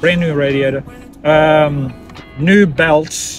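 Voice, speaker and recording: Clear music plays in the background while a man speaks, the sound dry with no echo. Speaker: vanlife vlogger. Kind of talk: casual vlog chat. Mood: calm, matter-of-fact. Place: car. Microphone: phone near.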